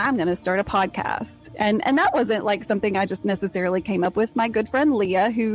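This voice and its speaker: Over music in the background, a woman with a medium pitch and an American accent talks at a very fast pace with ordinary pitch variation. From Texas. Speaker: podcast host. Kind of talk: solo podcast monologue. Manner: casual, chatty.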